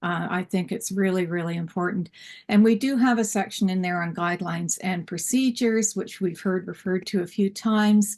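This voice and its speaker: The speaker has an unremarkable speaking voice with fairly even intonation at a moderate pace. The background is quiet. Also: woman. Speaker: school library advocate and panelist. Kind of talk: conference panel talk. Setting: symposium session.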